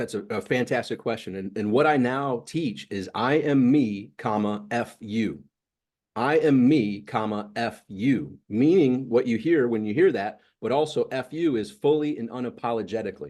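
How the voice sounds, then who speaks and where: A plain, everyday voice from a man, medium in pitch, with lively intonation, a moderate pace and a quiet background. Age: 50s. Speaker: motivational coach. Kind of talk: interview.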